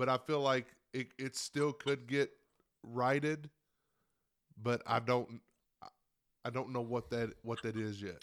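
A man speaks at a fairly slow pace with a medium pitch. His intonation stays fairly even, broken by long, frequent pauses. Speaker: sports podcast panelist. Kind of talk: casual chat. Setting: studio. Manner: loud.

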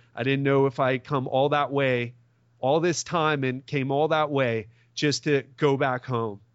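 An American man with a normal speaking voice talks at a fairly slow pace and fairly high pitch, his intonation fairly even and his loudness very even. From US, Miami. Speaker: personal trainer and podcast host. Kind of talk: testimony.

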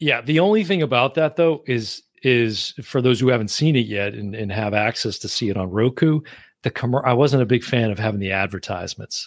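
The intonation is lively, in an ordinary speaking voice. The recording is very clean, with a silent background. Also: man, medium pitch for a man, fairly quick pace. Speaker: podcast host. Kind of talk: casual chat.

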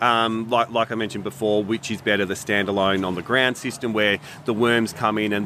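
A man's fairly low voice cuts through noticeable background noise. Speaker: product company representative.

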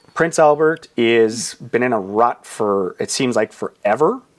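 Speaking with a Canadian Prairies accent, a man uses a medium pitch and ordinary pitch variation. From Saskatchewan, Canada. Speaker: real estate agent. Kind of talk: casual interview. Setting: studio.

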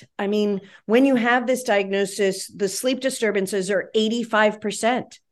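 An unremarkable speaking voice comes through in an American accent. Its pitch varies in an ordinary way over a quiet background. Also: woman. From West Virginia. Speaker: pediatrician. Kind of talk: interview.

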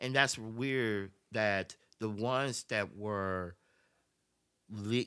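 A man with a Memphis accent speaks at a fairly low pitch with fairly even intonation, recorded very cleanly against a silent background. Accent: US Southern, Memphis. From Memphis, Tennessee. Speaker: podcast guest. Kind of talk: casual chat.

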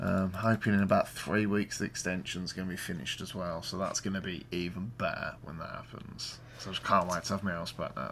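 A man with a Birmingham accent speaks at a fairly quick pace in a very deep, low pitch with vocal fry, ordinary pitch variation and hardly any pauses. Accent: Birmingham (West Midlands). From Birmingham, England. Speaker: podcast host. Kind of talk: casual chat. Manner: informal, jokey.

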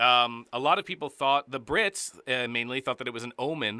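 A man with an American accent speaks at a fairly quick pace in a plain, everyday voice, his medium pitch moving with ordinary variation. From New Jersey. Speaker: podcast host, screenwriter. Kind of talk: casual chat. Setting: studio.

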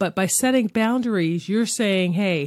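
In a very clean recording with a silent background, a woman with a plain, everyday voice speaks at medium pitch in an American accent, her pitch varying in an ordinary way. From Philadelphia, US. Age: 50s. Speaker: podcast host. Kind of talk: casual monologue.

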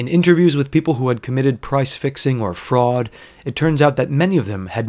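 Lively in intonation, a man with an unremarkable speaking voice talks at a fairly quick pace and medium pitch. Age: 30s. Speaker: podcast host. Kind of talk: solo casual monologue. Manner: casual with frequent laughter.

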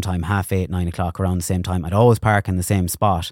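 A man with an Irish accent talks at a very fast pace. The recording is very clean, with a silent background and a dry, close sound free of echo. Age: 30s. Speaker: radio presenter and influencer. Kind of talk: casual chat.

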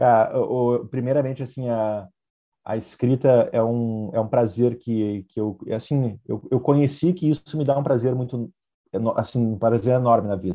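A man's plain, everyday voice, medium in pitch, at a moderate pace with ordinary pitch variation. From southern Brazil, Vacaria (Rio Grande do Sul). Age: 30s. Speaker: entrepreneur and author. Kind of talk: interview.

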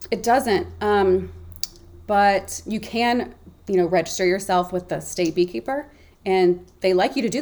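A woman with an ordinary speaking voice talks in an American accent at medium pitch, with ordinary pitch variation. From US South, Memphis, Tennessee. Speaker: travel blogger. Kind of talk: casual interview chat.

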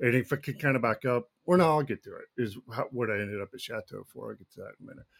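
Rushing along at a very fast pace with hardly any pauses, a man with an American accent shows vocal fry, big swings in loudness and ordinary pitch variation, in a dry, close sound with no echo. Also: medium pitch for a man. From Texas, Dallas area. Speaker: firefighter and former baseball player. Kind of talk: interview testimony.

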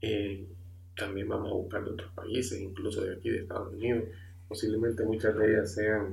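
A man's fairly low, somewhat breathy voice at a moderate pace, monotone and flat, with audible room echo. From Honduras. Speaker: amateur podcast host. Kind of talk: podcast introduction monologue. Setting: home room, computer and microphone. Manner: halting, many filler sounds.

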